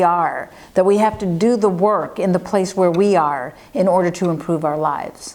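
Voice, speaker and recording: The speaker here is a woman. Her intonation shows ordinary pitch variation. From United States. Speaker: forest ecologist. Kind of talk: interview answers. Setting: interview in Barcelona. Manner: fast.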